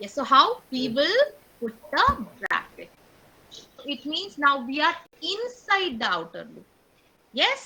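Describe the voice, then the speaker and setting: A woman with a high pitch uses a raised, projected voice at a very slow pace, with very wide pitch swings, big swings in loudness, and long, frequent pauses. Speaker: teacher. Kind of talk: online class lesson.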